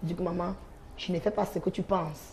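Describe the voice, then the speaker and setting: A woman's fairly low-pitched, unremarkable speaking voice at a fairly quick pace, with fairly even intonation over light background noise. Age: 20s. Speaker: sex worker; talk show guest. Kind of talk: testimony. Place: studio. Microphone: lapel.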